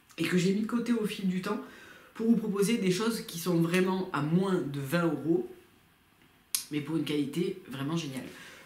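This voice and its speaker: With audible room echo, a woman of medium pitch talks at a moderate pace, using ordinary pitch variation and long, frequent pauses. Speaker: beauty youtuber. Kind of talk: product review vlog. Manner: hesitant, many fillers.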